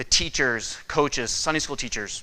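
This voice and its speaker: A man with a northern US accent, a bright, sharp tone and monotone, flat intonation, speaking at a fairly slow pace amid audible room echo. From Michigan. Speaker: respiratory therapist. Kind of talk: conference presentation.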